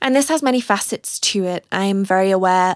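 With a British accent, a woman talks at a medium pitch with ordinary pitch variation, the sound dry and close with no echo in a very clean recording with a silent background. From UK. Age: 30s. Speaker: podcast host and artist. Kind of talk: personal monologue.

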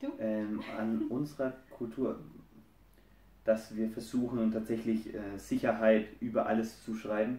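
A man speaks at a medium pitch in a dark, mellow tone, monotone and flat, very slowly, with long, frequent pauses. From Germany, Franconia. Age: 20s. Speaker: husband of a guest couple. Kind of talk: casual interview.

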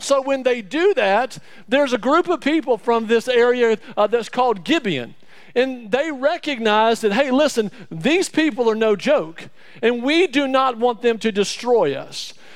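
In an Alabama accent, a man speaks at an extremely high pitch with lively intonation and a fairly slow pace. The recording is very clean, with a silent background. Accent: Southern US (Alabama). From Alabama, US South. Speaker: church staff member preaching as guest speaker. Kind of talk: sermon. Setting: church. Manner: animated.

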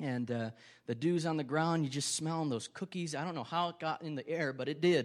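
Speaking in an Upper Midwest accent at a fairly quick pace, a man uses a fairly high pitch with ordinary pitch variation in a very clean recording with a silent background. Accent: Upper Midwest American. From Wisconsin, Ripon. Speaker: pastor. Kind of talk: sermon. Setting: church.

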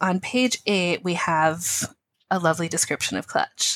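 This woman's voice sits at a medium pitch and moves at a moderate pace, recorded dry and close with no echo. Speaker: podcast co-host. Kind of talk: casual chat.

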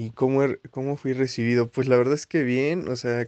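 A man at a fairly slow pace, his intonation fairly even. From Mexico, Xalapa, Veracruz. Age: 20s. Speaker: chemist. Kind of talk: interview. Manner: halting.

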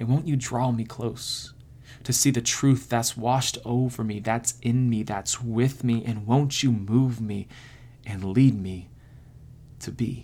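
A man's ordinary speaking voice, medium in pitch, fairly slow, with fairly even intonation, on a very clean recording with a silent background. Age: 30s. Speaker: podcast host and poet. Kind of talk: poetry reading, prayer-like, within a casual podcast. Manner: casual, joking, self-deprecating.

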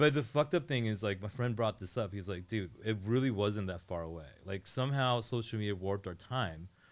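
An unremarkable speaking voice from a man with an American accent, fairly low pitch, lively intonation, a fairly quick pace, and hardly any pauses, in a very clean recording with a silent background. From Northern Virginia. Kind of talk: casual chat. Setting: radio studio.

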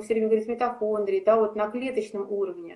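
A woman's fairly high voice with fairly even intonation, an ordinary speaking voice. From Saint Petersburg, Russia. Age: 40s. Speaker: athlete and fitness coach. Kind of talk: interview.

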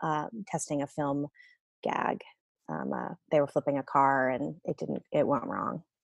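Against a quiet background, a woman talks at a fairly slow pace, the sound dry and close with no echo. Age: 40s. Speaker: mother sharing birth story. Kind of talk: casual chat.

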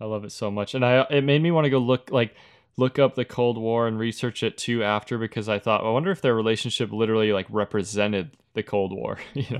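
The delivery is fairly quick. Its pitch variation is ordinary. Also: man, medium pitch for a man. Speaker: podcast co-host, filmmaker.

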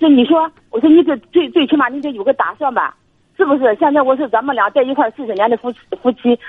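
Ordinary pitch variation in a woman's high voice, at a fairly quick pace. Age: 60s. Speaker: retired caller seeking advice. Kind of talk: phone-in advice call. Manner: halting.

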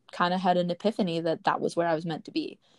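A woman with an American accent talks at a fairly low pitch, recorded dry and close with no echo over a quiet background. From Wisconsin, rural. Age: 20s. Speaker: podcast co-host, college student, YouTuber. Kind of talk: casual chat.

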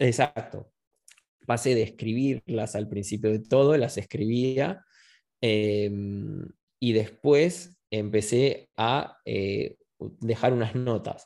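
In a very clean recording with a silent background, a man with a medium pitch and a dark, mellow tone speaks at a very slow pace, with long, frequent pauses and ordinary pitch variation. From Argentina, Buenos Aires. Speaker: meditation instructor. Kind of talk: casual interview. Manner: halting, many repetitions.

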